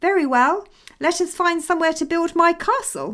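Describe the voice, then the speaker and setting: In a put-on character voice, a woman speaks squeaky and extremely high-pitched. Her intonation is lively and her pace moderate. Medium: read story.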